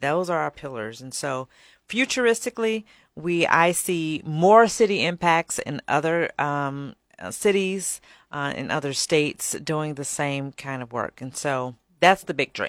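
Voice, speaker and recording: With an American accent, a woman speaks at a fairly slow pace in a very deep, low pitch, her intonation lively and her loudness swinging widely, on a very clean recording with a silent background and a dry, close sound with no echo. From Chicago area, south suburbs. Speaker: nonprofit executive director. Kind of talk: radio interview.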